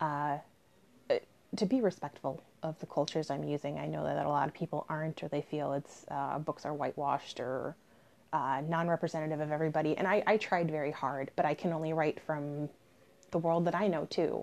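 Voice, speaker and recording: A woman's very deep, low voice with vocal fry. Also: fairly even intonation. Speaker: podcast co-host and novelist. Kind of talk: casual intro.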